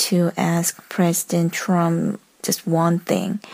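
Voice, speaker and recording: In a Korean accent, a woman talks with a fairly low pitch. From South Korea. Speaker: listener caller. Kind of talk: voicemail message. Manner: halting.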